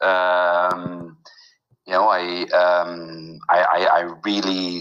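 A man's very deep, low voice with a Dutch accent. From Netherlands. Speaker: film finance consultant. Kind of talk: interview. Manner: halting, many fillers.

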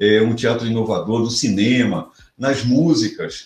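Speaking at a very slow pace, a man with a medium-pitched, somewhat breathy voice shows ordinary pitch variation. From Rio de Janeiro, Brazil. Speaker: professor of entrepreneurship. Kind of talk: interview conversation.

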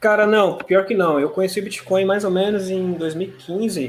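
A man at a moderate pace. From Brazil, São Paulo city. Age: 30s. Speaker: fintech CEO. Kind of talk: interview. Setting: live stream.

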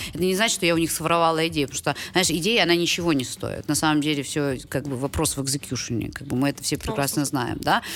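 With hardly any pauses, a woman talks very fast in a very deep, low pitch with ordinary variation over noticeable background noise. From Ukraine. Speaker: startup and venture fund development executive. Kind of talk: casual chat.

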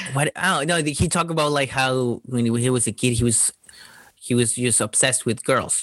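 A man with a Spanish accent is heard on a very clean recording with a silent background. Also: medium pitch for a man, ordinary pitch variation, moderate pace. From Chile. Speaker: stand-up comedian. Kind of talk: casual chat. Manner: halting.

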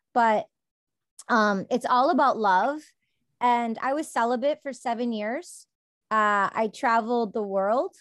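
With a Midwestern American accent, a woman talks at a fairly slow pace and fairly high pitch, with ordinary pitch variation, long and frequent pauses, and a dry, close sound with no echo against a quiet background. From US Midwest, Detroit suburbs, Michigan. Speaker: poet and actress. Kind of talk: casual interview chat.

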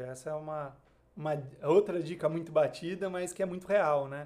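The loudness swings widely from moment to moment. The pace is moderate. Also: man. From Brazil, Marília (São Paulo interior). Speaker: investment advisor. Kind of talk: podcast interview.

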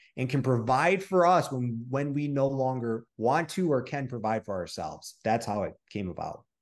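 In a Midwestern American accent, the speaker talks at a moderate pace with hardly any pauses in an animated tone. The intonation is lively, and the background is quiet. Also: man, medium pitch for a man. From Michigan. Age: 30s. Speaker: online coach and real estate investor. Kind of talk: interview.

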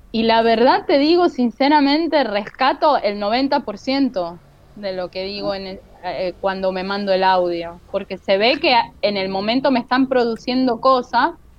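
A woman with lively intonation talks at a fairly slow pace while noticeable background noise plays behind her. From Venezuela, with childhood in Kansas City, US. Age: 40s. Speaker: comic artist and architect. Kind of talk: interview.

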